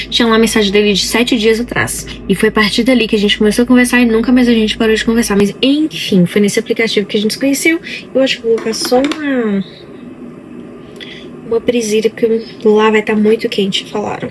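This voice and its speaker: Someone talks very fast with a Brazilian accent and fairly even intonation, yet leaves long, frequent pauses. Noticeable noise sits in the background. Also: woman, fairly high pitch for a woman. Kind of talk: casual vlog talk.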